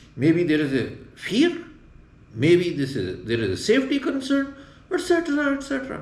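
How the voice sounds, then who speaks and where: There is audible room echo around a man's voice. He speaks at a moderate pace with very wide pitch swings. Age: 60s. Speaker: retired traveler, backpacker. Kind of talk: interview. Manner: halting.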